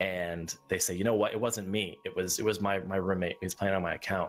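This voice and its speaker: A man talks at a very fast pace in a very deep, low pitch. His intonation is monotone and flat. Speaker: game server staff member. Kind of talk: live Q&A stream.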